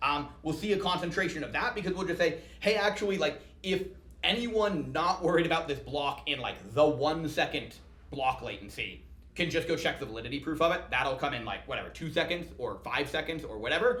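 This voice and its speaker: A man with a fairly high pitch and a bright, sharp tone speaks at a fairly quick pace with lively intonation and vocal fry, his voice carrying audible room echo. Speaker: startup founder and CEO. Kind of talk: podcast interview. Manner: fast.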